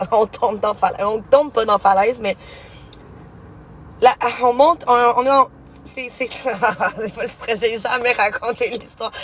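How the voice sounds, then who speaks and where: An animated tone in a Quebec accent at a moderate pace. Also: woman. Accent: Québécois French. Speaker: streamer. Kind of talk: casual storytelling. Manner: loud.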